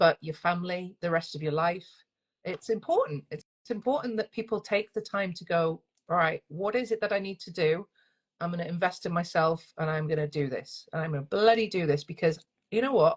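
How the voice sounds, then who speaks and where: Speaking with a Northern English accent, a woman talks at a fairly quick pace in a fairly low, somewhat breathy voice with ordinary pitch variation, recorded with a dry, close sound and no echo. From northern England. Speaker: single-parent coach. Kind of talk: interview. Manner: fast.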